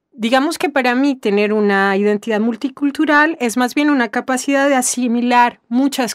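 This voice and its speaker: A woman's high voice rises and falls with lively intonation on a very clean recording with a silent background. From Colombia, after childhood moving through Latin America. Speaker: interviewee in a textbook listening exercise. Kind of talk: personal testimony answer. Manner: hesitant, with fillers and repetitions.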